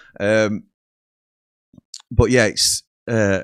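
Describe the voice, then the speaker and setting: Fairly low in pitch, a man talks with a Yorkshire accent and fairly even intonation. The recording is very clean, with a silent background. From Yorkshire, England. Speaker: football fan channel host. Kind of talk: casual solo livestream chat. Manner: casual, rambling with frequent fillers.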